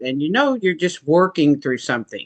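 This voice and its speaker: A woman with an American accent is heard in a dry, close sound with no echo. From United States. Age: 60s. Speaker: coaching client. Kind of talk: interview. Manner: halting, many fillers.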